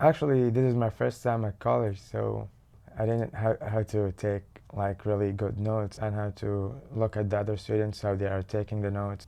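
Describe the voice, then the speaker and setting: With an Arabic accent, a man speaks at a moderate pace in a dark, mellow tone, his fairly low pitch showing ordinary pitch variation. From Saudi Arabia, Mecca. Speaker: community college student. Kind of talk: interview testimony.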